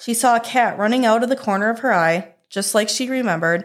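A plain, everyday voice moves at a fairly quick pace with ordinary pitch variation, captured in a very clean recording with a silent background. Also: woman. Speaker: park ranger podcast host reading horror stories. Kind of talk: ghost story telling, dark spooky campfire tale read aloud; reading aloud.

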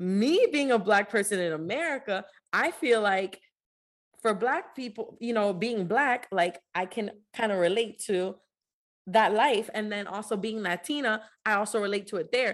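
A woman with a plain, everyday voice, fairly high pitch, ordinary pitch variation and a moderate pace. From US, Dominican-American family. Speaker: podcast co-host. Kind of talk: casual chat.

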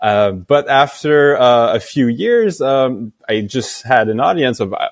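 The voice carries a French accent and ordinary pitch variation. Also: man. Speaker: company founder. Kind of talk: interview. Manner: halting, many fillers.

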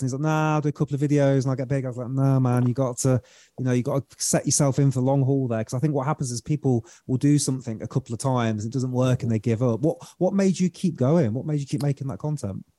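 With a British accent and a dark, mellow tone, a man speaks at medium pitch and a very fast pace with ordinary pitch variation, in a very clean recording with a silent background and a dry, close sound with no echo. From Britain. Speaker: breathwork coach and podcast host. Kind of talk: casual interview chat.

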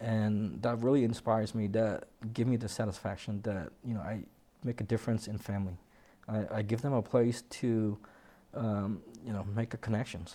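A man with a fairly low pitch and a dark, mellow tone talks at a moderate pace with fairly even intonation. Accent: Vietnamese. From Vietnam, then Washington State. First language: Vietnamese. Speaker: landscaping business owner. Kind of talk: interview. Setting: studio. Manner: halting.

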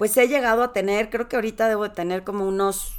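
A woman speaks in an animated tone. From Torreón, Mexico (La Laguna region). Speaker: executive presence coach. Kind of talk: solo podcast monologue.

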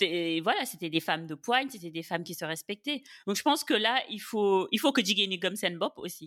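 A normal speaking voice from a woman at a medium pitch and a fairly quick pace, with lively intonation, big swings in loudness and a dry, close sound with no echo in a very clean recording with a silent background. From Senegal. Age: 30s. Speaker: podcast guest. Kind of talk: casual chat.

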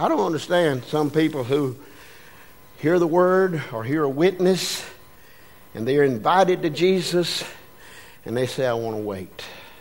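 A man speaks at a moderate pace with lively intonation and a fairly high pitch. Long, frequent pauses break up his speech over noticeable background noise. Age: 70s. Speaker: pastor. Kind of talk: sermon. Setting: church. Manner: animated.

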